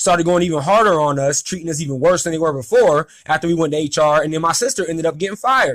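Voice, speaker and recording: Loud and high-pitched, a man's voice moves with ordinary pitch variation. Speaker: former restaurant employee telling a grievance story. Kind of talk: casual monologue vlog. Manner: talkative, many fillers.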